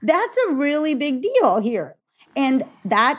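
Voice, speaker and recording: A woman speaks at a fairly slow pace in a Californian accent. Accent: American, Californian. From Los Angeles, US. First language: Gujarati. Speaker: parent. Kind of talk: casual interview.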